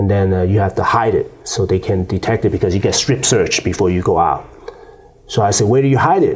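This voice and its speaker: Over noticeable background noise, a man with a Chinese accent speaks at a fairly quick pace in a fairly low pitch. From China. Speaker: former prisoner, youth advocate. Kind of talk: interview. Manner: halting, many fillers and repeats.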